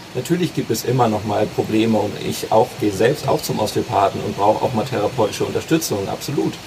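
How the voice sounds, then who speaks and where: A man of medium pitch talks at a very fast pace with hardly any pauses. Noticeable background noise runs underneath. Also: ordinary pitch variation. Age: 20s. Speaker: osteopath. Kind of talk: casual interview. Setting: outdoors in a garden.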